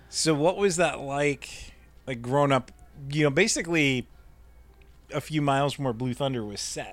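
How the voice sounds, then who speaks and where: With an American accent, a man speaks at a moderate pace in a fairly high pitch, with ordinary pitch variation, long, frequent pauses and music in the background. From Nebraska, US Midwest. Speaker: podcast host. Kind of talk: casual chat; solo intro monologue. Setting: tree fort.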